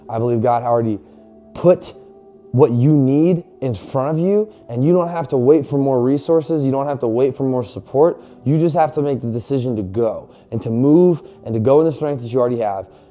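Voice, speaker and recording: A man's animated, medium-pitched voice at a fairly quick pace, with ordinary pitch variation and noticeable background noise. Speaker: fitness and faith motivational vlogger. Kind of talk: motivational talk to camera. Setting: garage, filming to camera. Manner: animated, casual; loud, yelling.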